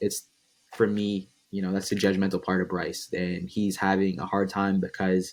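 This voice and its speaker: In a very clean recording with a silent background, a man speaks at a moderate pace with fairly even intonation and a very deep, low pitch. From Massachusetts, near Boston. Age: 20s. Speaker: content creator. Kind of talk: casual interview. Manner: hesitant, many fillers.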